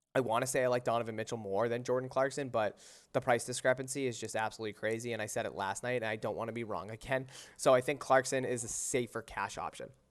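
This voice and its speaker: A man speaks very fast in a flat monotone at a medium pitch. The recording is very clean, with a silent background. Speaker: sports betting streamer. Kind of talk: live stream fantasy sports analysis. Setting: live stream. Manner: casual, halting with fillers.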